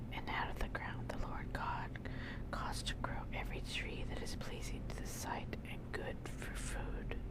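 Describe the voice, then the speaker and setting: A woman whispering over noticeable background noise. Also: fairly slow pace. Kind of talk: ASMR Bible reading. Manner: whispered.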